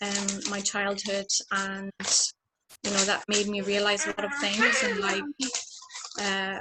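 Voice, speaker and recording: In an Irish accent, a woman speaks fairly slowly at a medium pitch. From Ireland. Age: 20s. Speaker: community member on panel. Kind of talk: panel discussion.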